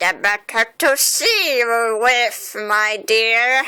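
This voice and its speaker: Doing a put-on character voice, a woman talks at a very slow pace, squeaky and fairly high in pitch. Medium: read story. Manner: sly, falsely gentle.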